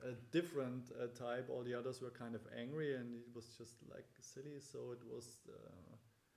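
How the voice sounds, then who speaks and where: With a non-native accent and a medium pitch, a man speaks at a moderate pace with hardly any pauses, fairly even intonation and big swings in loudness. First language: not English. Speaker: band member. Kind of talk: casual chat. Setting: livestream. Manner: halting.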